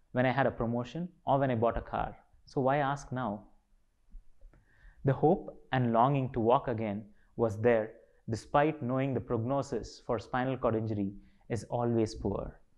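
In a quiet background, a man speaks at a moderate pace with long, frequent pauses. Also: fairly even intonation. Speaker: speaker. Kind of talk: motivational talk. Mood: calm, reflective, determined. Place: studio.

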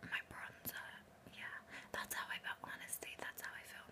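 The speaker is a woman, and she whispers. Her pace is moderate. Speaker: ASMR creator. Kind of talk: ASMR whisper talk about films. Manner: whispered. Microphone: phone near.

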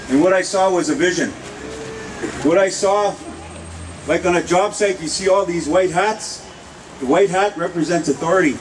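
A high-pitched man at a moderate pace, with ordinary pitch variation and noticeable background noise. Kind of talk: rally speech. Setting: outdoor rally with audience. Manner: fiery, repetitive rallying cries. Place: street.

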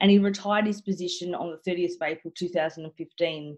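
Quiet surrounds a woman speaking at a moderate pace. Her pitch varies in an ordinary way. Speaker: podcast host. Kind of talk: podcast introduction. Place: home room. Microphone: video call.

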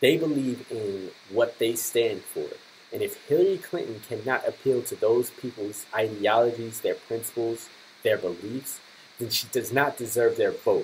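Light background noise behind a man's moderate pace. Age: 20s. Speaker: political commentary vlogger. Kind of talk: political commentary. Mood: critical, earnest. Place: home room. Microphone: webcam.

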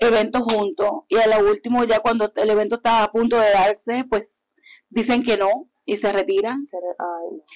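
The woman's voice sits fairly high and moves at a moderate pace. The background is quiet. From Puerto Rico (Yabucoa), born in Hartford; Puerto Rico. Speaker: artist promoter and pageant queen; guest. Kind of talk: interview, casual chat. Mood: warm, animated. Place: studio. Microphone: lapel.

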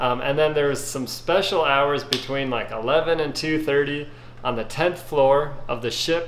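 Amid light background noise and audible room echo, a man speaks at a fairly slow pace with fairly even intonation. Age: 40s. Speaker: YouTube food reviewer. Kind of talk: casual video review. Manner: casual with frequent fillers. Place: kitchen. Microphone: phone near.

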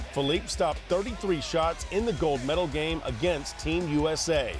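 Music plays behind speech delivered at an average speed. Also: man. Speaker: sports reporter. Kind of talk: sports news package narration.

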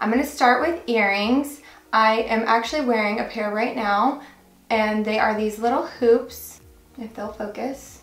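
With fairly even intonation and audible room echo, a woman speaks at a moderate pace. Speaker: fashion vlogger. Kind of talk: casual vlog chat. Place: home room.

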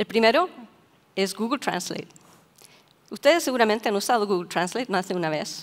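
This is a woman speaking. Her pitch is fairly high. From Chile. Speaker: AI researcher; speaker. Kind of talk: conference talk. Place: hall. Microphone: headset.

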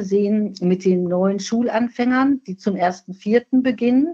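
A woman speaks in a somewhat breathy voice at a medium pitch. Her pace is fairly slow, with ordinary pitch variation. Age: 60s. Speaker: nursing scientist, professional association president. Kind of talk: podcast interview.

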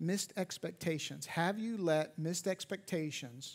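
The voice has ordinary pitch variation and a fairly slow pace. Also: man. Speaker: pastor. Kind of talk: church sermon. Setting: church auditorium. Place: church.

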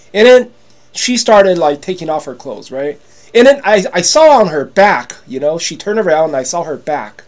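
A man speaks in a high-pitched, animated tone at a moderate pace. His pitch swings very widely and his loudness rises and falls sharply. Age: 50s. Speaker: YouTuber selling products. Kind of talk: casual vlog monologue. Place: home room. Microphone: webcam.

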